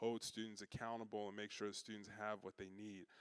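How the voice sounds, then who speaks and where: A man's medium-pitched voice with a Chicago accent, fairly quick and flat in intonation, in a dry, close sound with no echo. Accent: Chicago twang. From Chicago, US Midwest. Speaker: university student affairs staff. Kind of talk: orientation talk to parents. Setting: in-person session with audience. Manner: casual, conversational with frequent fillers.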